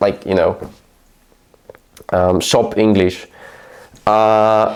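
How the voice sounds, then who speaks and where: Someone speaks at a very slow pace in a Polish accent. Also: man. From Poland. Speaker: YouTube creator. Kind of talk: casual vlog monologue. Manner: slow and halting.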